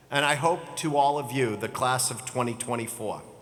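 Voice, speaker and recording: Audible room echo around fairly slow speech, with ordinary pitch variation. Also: man. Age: 60s. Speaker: commencement speaker, business executive. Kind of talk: commencement speech. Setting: stage with audience.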